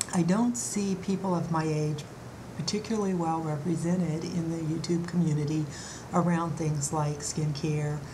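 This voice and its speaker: A woman with a fairly low pitch and fairly even intonation speaks over noticeable background noise, with audible room echo. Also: moderate pace. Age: 60s. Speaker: beauty vlogger. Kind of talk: vlog monologue. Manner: halting, many fillers.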